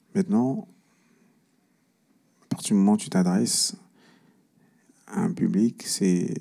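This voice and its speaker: The man's delivery is fairly slow. Long pauses come often. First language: Cameroonian language (mother tongue) (speaking French). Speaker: singer-songwriter. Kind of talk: panel discussion.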